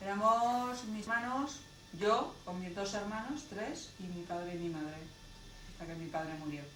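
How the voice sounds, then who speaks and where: A woman's medium-pitched voice with lively intonation at a fairly slow pace, with noticeable background noise. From Almansa, Spain. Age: 40s. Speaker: interviewee recalling childhood under late Franco era. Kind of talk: interview answer.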